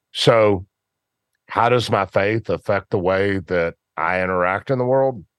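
At a fairly slow pace and with ordinary pitch variation, a voice with a Memphis accent comes through in a dry, close sound with no echo and a quiet background. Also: man, fairly low pitch for a man. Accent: US Southern (Memphis). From Memphis, Tennessee. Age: 50s. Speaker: football coach and business owner. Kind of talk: interview conversation.

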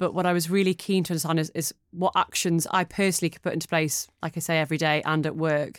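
Speaking very fast with hardly any pauses, a woman with a Geordie accent keeps a fairly low pitch and a monotone, flat intonation. The sound is dry and close with no echo, on a very clean recording with a silent background. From northeast England (Newcastle). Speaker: media client partner. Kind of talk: casual interview.

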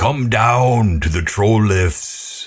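A man puts on a character voice at a medium pitch.

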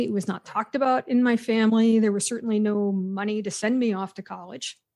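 A woman with an unremarkable speaking voice talks at a fairly quick pace and a fairly high pitch. Her intonation stays fairly even. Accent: American. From western Pennsylvania. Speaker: psychology professor. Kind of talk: interview conversation.

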